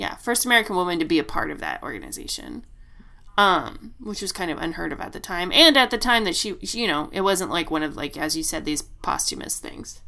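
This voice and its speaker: A woman speaks fairly quickly at a medium pitch with vocal fry. Her pitch swings very widely. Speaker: podcast co-host. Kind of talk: casual chat.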